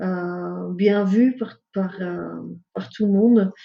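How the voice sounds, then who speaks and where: A woman's dark, mellow tone, with a non-native accent and fairly even intonation. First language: not French (speaking French). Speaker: ecopsychologist. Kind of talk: interview. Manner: hesitant, many fillers.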